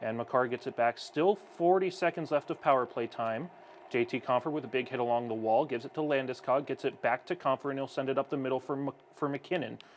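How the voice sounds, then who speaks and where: A man at a very fast pace with hardly any pauses, medium pitch and ordinary pitch variation. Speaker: hockey broadcaster. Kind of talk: live commentary; casual chat.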